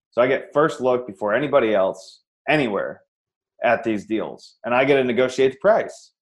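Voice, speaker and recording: In a plain, everyday voice, a man with an American accent speaks at a moderate pace and medium pitch. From Iowa, US Midwest. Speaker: real estate investor. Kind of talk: interview.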